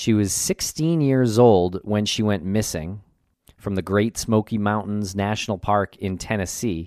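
Speaking at a fairly slow pace, the voice is an ordinary speaking voice with ordinary pitch variation. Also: man, fairly low pitch for a man. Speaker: podcast host. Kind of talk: casual conversational podcast. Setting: remote recording, guest joining virtually.

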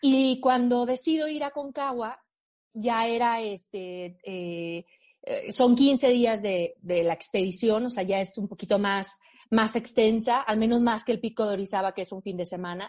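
An ordinary speaking voice from a woman, fairly high in pitch, with ordinary pitch variation and a fairly slow pace. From Mexico, Aguascalientes. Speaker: mountaineer. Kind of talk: interview.

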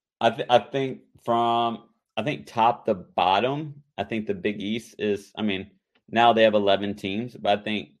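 A man's unremarkable speaking voice, fairly low in pitch, with ordinary pitch variation. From North Carolina. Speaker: former college basketball player. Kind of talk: interview.

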